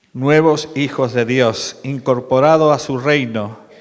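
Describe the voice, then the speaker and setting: At a very slow pace, a man speaks at medium pitch. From Málaga, Andalusia, Spain. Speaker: preacher. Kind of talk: sermon.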